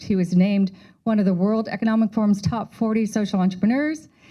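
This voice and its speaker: On a very clean recording with a silent background, a woman talks very fast in a medium-pitched, dark, mellow tone that is somewhat breathy, with ordinary pitch variation. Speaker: professor. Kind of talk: speaker introduction.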